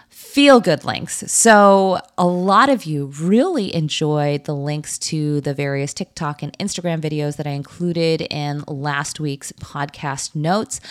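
A woman with an American accent speaks at a fairly slow pace with hardly any pauses. Her pitch is very deep and low. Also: ordinary pitch variation. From US, Korean American. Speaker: podcast host, former lawyer. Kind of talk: scripted narration.

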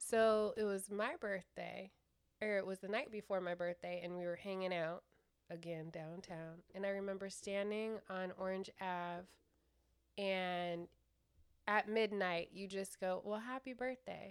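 A woman speaks at a fairly slow pace in an American accent, her pitch medium. It is an unremarkable speaking voice with fairly even intonation. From California. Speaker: host's fiancée. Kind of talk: casual chat.

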